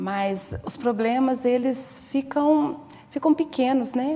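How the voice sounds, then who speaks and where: With noticeable background noise behind her, a woman speaks in a high voice with lively intonation. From Viçosa, Minas Gerais, Brazil. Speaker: stay-at-home mother. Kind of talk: interview testimony.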